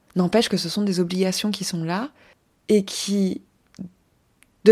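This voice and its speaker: Pitched at a medium level for a woman, her voice has a dark, mellow tone and a fairly slow pace on a very clean recording with a silent background. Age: 30s. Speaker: podcast host and life coach. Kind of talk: solo podcast monologue. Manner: casual, with hesitations.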